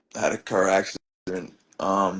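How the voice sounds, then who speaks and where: With music in the background, a man speaks in a very deep, low voice with a Maritime Canadian accent. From Truro, Nova Scotia, Canada. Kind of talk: interview answer. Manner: casual, rambling.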